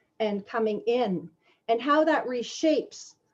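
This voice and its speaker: In a Canadian accent, an ordinary speaking voice moves with ordinary pitch variation. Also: woman. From Canada, Toronto. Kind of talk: online presentation. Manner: casual, conversational with fillers.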